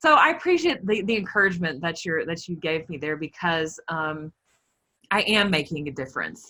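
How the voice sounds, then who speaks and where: A woman speaks in a Southern accent with a bright, sharp tone. Her pitch is fairly low, with ordinary pitch variation. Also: moderate pace. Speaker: body image and food coach. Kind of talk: casual interview.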